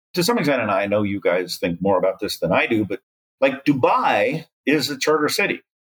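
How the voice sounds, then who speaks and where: A fairly high-pitched man at a fairly quick pace, with very wide pitch swings and vocal fry. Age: 60s. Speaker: development economist. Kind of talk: interview.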